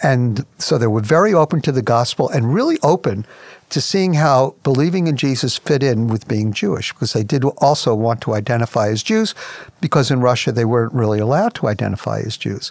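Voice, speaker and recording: With lively intonation and an ordinary speaking voice, a man talks at medium pitch and a fairly quick pace in a dry, close sound with no echo. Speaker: ministry president and radio host. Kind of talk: radio program host.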